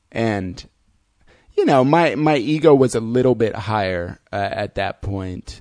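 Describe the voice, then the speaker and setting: At a fairly slow pace, a man with a medium pitch and lively intonation speaks over a quiet background. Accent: Midwestern American. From US Midwest (Fort Wayne, Indiana). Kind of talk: casual chat. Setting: studio.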